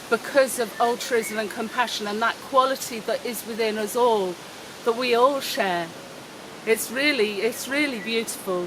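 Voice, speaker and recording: A fairly slow delivery against noticeable background noise. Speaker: online course teacher. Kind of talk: vlog monologue. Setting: outdoors by a road. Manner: loud.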